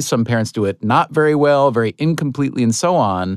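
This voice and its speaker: Speaking in a plain, everyday voice with an American accent, a man keeps a medium pitch, a moderate pace and lively intonation, in a dry, close sound with no echo and a quiet background. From upstate New York. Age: middle-aged. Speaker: podcast host. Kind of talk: casual chat.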